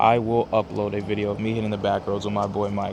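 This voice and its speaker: Over noticeable background noise, a man talks fairly quickly in a fairly low voice with monotone, flat intonation. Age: 20s. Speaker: car vlogger. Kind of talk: casual vlog talk to camera. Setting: outdoors. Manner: fast.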